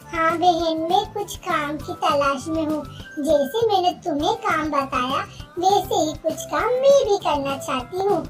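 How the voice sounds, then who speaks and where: With clear music in the background, a female-sounding cartoonish character voice at an extremely high pitch speaks at a fairly slow pace. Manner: humble, pleading.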